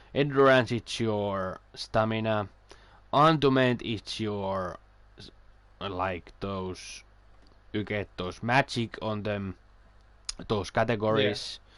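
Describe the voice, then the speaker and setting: With a non-native accent, a man speaks at a very slow pace and fairly low pitch, with long, frequent pauses, big swings in loudness and ordinary pitch variation. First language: not English. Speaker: video game streamer. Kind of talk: casual chat. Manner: halting.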